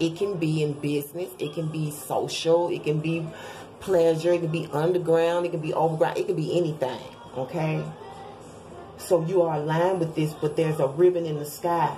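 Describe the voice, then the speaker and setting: A woman talks at a moderate pace and a fairly low pitch, her intonation monotone and flat. Audible room echo and noticeable background noise are present. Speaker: tarot reader. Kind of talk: tarot reading video.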